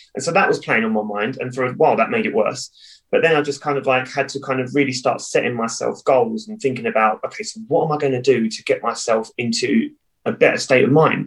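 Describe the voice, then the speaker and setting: A somewhat breathy voice with a southern English accent rushes along at a very fast pace. Its pitch swings very widely. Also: man, fairly high pitch for a man. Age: 30s. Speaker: cheerleading coach and businessman.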